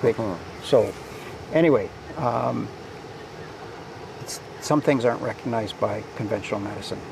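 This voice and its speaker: Long, frequent pauses break up a man's moderate-paced speech, with a dry sound lacking echo and noticeable background noise. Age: 70s. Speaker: interviewee. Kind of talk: interview answer. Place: garden. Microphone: lapel.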